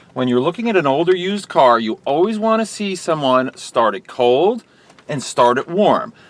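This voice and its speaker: With noticeable background noise behind him, a man speaks at a high pitch with very wide pitch swings. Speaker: used car dealer. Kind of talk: sales pitch. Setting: in a car.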